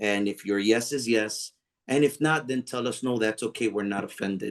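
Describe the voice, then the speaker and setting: The man talks at a moderate pace. His intonation is fairly even, with a quiet background. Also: medium pitch for a man. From US, Puerto Rican family. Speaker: pastor. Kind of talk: online panel discussion. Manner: halting, many fillers.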